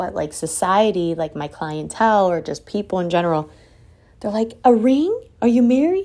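In a very clean recording with a silent background, a woman with a plain, everyday voice speaks at a moderate pace with ordinary pitch variation. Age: 30s. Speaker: podcast host and salon owner. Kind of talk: solo motivational monologue. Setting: home office. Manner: casual and conversational.

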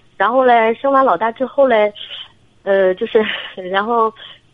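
A woman speaks in a fairly high pitch. Noticeable background noise runs behind her. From Shandong. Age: 30s. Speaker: military wife, caller. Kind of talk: phone-in consultation. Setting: phone call. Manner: hesitant.

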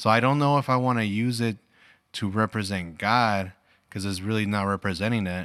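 An ordinary speaking voice, fairly quick in pace and fairly even in intonation. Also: man, fairly low pitch for a man. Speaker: podcast host and father. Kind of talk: casual family chat.

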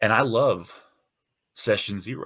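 Vocal fry marks this man's voice, which makes very wide pitch swings. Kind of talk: casual solo monologue. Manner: hesitant with many fillers.

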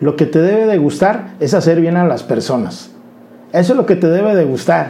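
A man with a high-pitched yet dark, mellow tone talks fairly quickly, with audible room echo. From Mexico, Colima (grew up moving around the country). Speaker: insurance advisor. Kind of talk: interview. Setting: studio.

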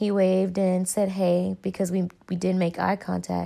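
In a very clean recording with a silent background, a woman speaks with a Southern US accent at a moderate pace. Her tone is dark and mellow, her intonation monotone and flat. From North Carolina, US South. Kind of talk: personal reflection monologue.

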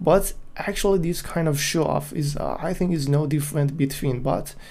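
Here is a man with a non-native accent and a fairly high pitch, his tone dark, mellow and somewhat breathy. He keeps a moderate pace with ordinary pitch variation. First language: not English. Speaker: graphic designer and solo podcaster. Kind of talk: solo monologue, opinion. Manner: halting.

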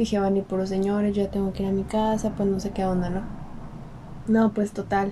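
At a fairly quick pace, a woman speaks in a monotone with flat intonation and very even loudness. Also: medium pitch for a woman. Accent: Mexican. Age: 20s. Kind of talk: casual chat.

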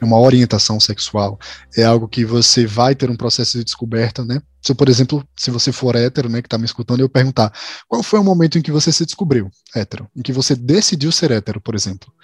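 A man with a medium pitch and ordinary pitch variation speaks at a very fast pace, sounding somewhat breathy. The sound is dry and close with no echo. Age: 20s. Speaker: content manager. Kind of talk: casual chat.

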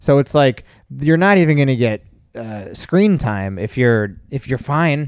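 Here is a man with a normal speaking voice at a medium pitch. His pitch varies in an ordinary way, and the recording is very clean with a silent background. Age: 40s. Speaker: podcast co-host. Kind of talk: casual chat. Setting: home recording late at night.

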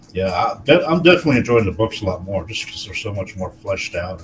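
Noticeable background noise sits behind a man with a fairly low pitch. He talks at a fairly quick pace with lively intonation. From Texas. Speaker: podcast co-host. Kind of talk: casual chat.

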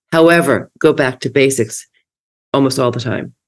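Speaking at a fairly quick pace, a woman gets through her words. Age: 70s. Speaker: podcast host. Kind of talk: casual chat. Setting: video call.

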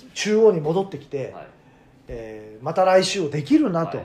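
The man's voice sits high in pitch. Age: 40s. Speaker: radio personality. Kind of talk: casual chat.

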